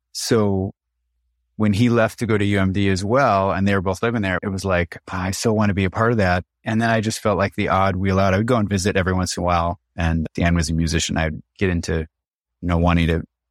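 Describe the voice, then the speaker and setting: Against a quiet background, a man with a very deep, low voice talks at a fairly quick pace with fairly even intonation, the sound dry and close with no echo. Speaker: bodywork practitioner and cleaning business owner. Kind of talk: casual interview about grief.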